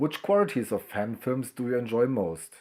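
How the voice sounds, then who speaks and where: The recording is very clean, with a silent background. A man with a German accent speaks at a fairly slow pace with lively intonation. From Germany, Brandenburg. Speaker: fan film website volunteer. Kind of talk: pre-recorded interview answers. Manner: reading questions aloud then answering.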